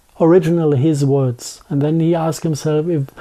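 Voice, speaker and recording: Moderate pace with a strong German accent. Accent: thick German. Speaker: conspiracy theory interviewee. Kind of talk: interview. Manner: halting.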